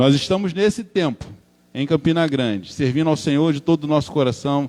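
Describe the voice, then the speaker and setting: A man with a Rio de Janeiro accent speaks at a fairly high pitch. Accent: Rio de Janeiro (carioca). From Brazil, Rio de Janeiro. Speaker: preacher. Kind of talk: sermon. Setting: church.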